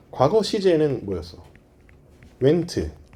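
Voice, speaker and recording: With very wide pitch swings, a man of medium pitch speaks at a fairly slow pace. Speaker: English grammar lecturer. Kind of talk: lecture. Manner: calm, soothing.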